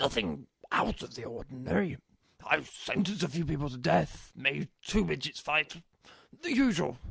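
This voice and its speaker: Using a put-on character voice, a man speaks raspily at a moderate pace and medium pitch, with big swings in loudness. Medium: audio drama. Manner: flustered, stammering.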